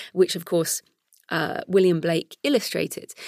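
A woman with a British accent speaks at a moderate pace in a fairly low voice, recorded very cleanly against a silent background with a dry, close sound and no echo. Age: 40s. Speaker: podcast host and author. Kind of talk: solo podcast intro; interview.

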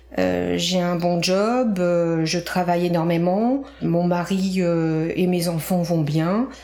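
Over noticeable background noise and audible room echo, a woman speaks at a very slow pace with a fairly low pitch, ordinary pitch variation and very even loudness. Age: 50s. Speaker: cancer survivor and author. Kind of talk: testimony.

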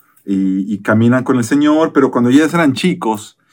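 Using lively intonation, a man with an ordinary speaking voice talks at a medium pitch and a moderate pace. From Mexico. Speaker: pastor. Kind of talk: casual chat.

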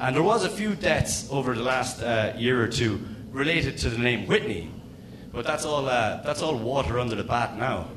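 With noticeable background noise, a man speaks in an Irish accent at a medium pitch with lively intonation. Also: moderate pace. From small town in Ireland. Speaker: comedian. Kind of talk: stand-up. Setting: stage with audience.

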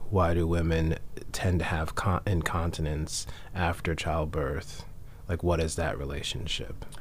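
A man speaks fairly slowly in a very deep, low voice with fairly even intonation. Background noise is noticeable behind him. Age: 40s. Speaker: radio health show host, acupuncture physician. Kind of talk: interview. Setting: studio.

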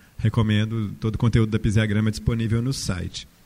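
Low for a man, his voice has a dark, mellow tone. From interior of Minas Gerais, Brazil. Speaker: architect and university professor. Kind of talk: panel talk.

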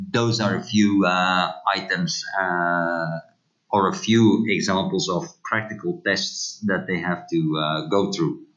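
The speaker talks very slowly with a Dutch accent. The intonation is lively. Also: man. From Belgium, Poperinge. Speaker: retired tourism official. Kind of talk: interview.

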